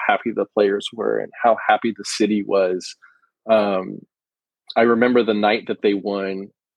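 In a plain, everyday voice with an American accent, the speaker talks at a moderate pace with fairly even intonation. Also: man. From US Pacific Northwest. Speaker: sports photographer. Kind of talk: interview. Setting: podcast guest.

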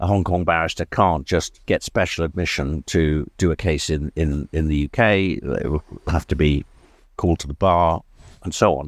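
A man speaks at a moderate pace with a very deep, low pitch, ordinary pitch variation and vocal fry, in a dry, close sound with no echo on a very clean recording with a silent background. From Wales. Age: 60s. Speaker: barrister. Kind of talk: casual interview chat over lunch. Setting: restaurant lunch.

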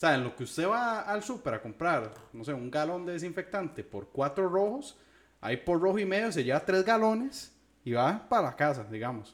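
A man with a Costa Rican accent and a high pitch, at a moderate pace, with very wide pitch swings. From Costa Rica, southern San José. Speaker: podcast co-host. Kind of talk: casual chat.

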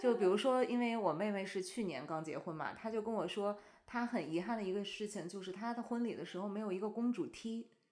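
Through noticeable background noise, a woman talks fairly quickly at a medium pitch with ordinary pitch variation and hardly any pauses. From China. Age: 30s. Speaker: bride-to-be friend. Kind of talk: casual chat.

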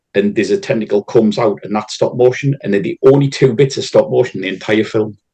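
Barely pausing, a man rushes through his words at a very fast pace. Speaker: podcast guest. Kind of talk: casual chat.

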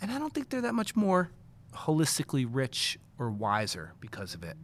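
The man's pitch swings very widely as he talks at a fairly quick pace. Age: 40s. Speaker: college director and teacher. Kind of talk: casual chat. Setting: studio.

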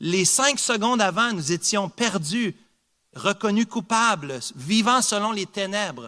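In a very clean recording with a silent background, a man with a high, bright, sharp voice projects it loudly, speaking very slowly with lively intonation. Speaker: preacher. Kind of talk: sermon. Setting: church. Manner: earnest, emphatic preaching with repetition for emphasis.

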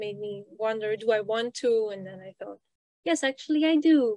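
A woman's fairly high pitch in a Flemish accent, a moderate pace, fairly even intonation, and a dry, close sound with no echo. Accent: Belgian (Flemish) English. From Belgium. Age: 20s. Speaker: PhD student and poet. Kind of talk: interview.

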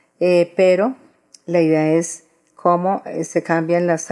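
A woman is speaking. Her pitch sits fairly low. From Colombia, Antioquia. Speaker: historian and feminist activist. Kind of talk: interview. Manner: halting, repeats words.

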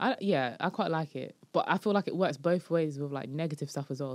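A woman's very deep, low voice in a London accent, with ordinary pitch variation, on a very clean recording with a silent background. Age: 20s. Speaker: comedian. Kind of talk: casual chat.

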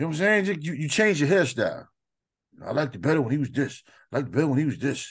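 A man talks very fast in a fairly high, somewhat breathy voice with ordinary pitch variation. The background is quiet. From New York. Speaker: podcast co-host. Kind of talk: casual chat.

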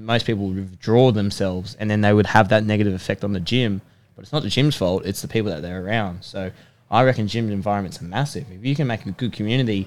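A man with an Australian accent talks very fast in a fairly low pitch. His pitch variation is ordinary, and the recording is very clean with a silent background. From Sydney, Australia. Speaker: personal trainer and rugby player. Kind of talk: casual chat. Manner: animated.

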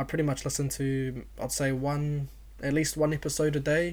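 This is a man speaking with an Auckland accent. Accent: New Zealand English, South Auckland. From New Zealand, South Auckland (Otara). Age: 20s. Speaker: podcast host. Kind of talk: casual monologue.

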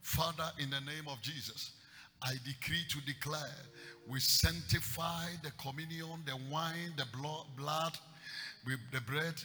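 Bright, sharp, animated tone in a Ghanaian accent, at a fairly slow pace with ordinary pitch variation. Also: man, fairly high pitch for a man. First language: Akan. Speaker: preacher. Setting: church. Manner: animated, emphatic, with storytelling asides and frequent calls for amen.

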